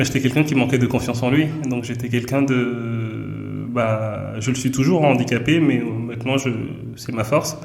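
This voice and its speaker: Fairly even intonation amid noticeable background noise and audible room echo. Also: man, medium pitch for a man, moderate pace. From Benin. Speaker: entrepreneur and author. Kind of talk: interview.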